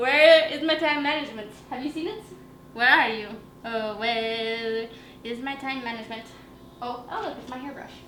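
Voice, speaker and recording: A loud woman at a high pitch, with ordinary pitch variation, a moderate pace, long and frequent pauses, audible room echo and noticeable background noise. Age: 20s. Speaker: lifestyle vlogger. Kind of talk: casual vlog talk to camera. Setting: at home, window open. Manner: animated.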